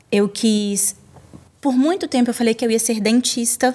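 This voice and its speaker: A woman talks in a Brazilian accent, somewhat breathy. Her intonation stays fairly even. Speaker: lawyer. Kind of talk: podcast interview.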